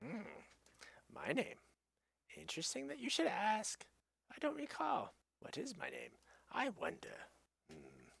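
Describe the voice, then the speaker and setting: Putting on a character voice, a man speaks in a high pitch at a fairly slow pace with long, frequent pauses. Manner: slow, musing, forgetful.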